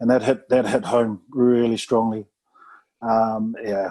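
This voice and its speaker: The tone is dark and mellow, with monotone, flat intonation. The pace is fairly slow. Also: man. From New Zealand (Samoan family). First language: Samoan. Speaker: retired rugby player. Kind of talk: casual interview chat.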